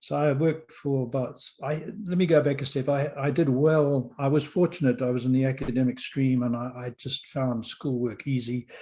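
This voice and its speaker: A man's somewhat breathy voice, dark and mellow in tone, at a moderate pace with fairly even intonation. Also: fairly high pitch for a man. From Rhodesia (Zimbabwe), born in London. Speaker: podcast host and author. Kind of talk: interview storytelling.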